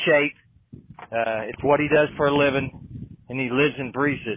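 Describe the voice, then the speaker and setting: A man talks with fairly even intonation in an Appalachian accent. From West Virginia. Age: 50s. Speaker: off-road racing driver. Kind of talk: casual chat. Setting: back of a trailer in a shop.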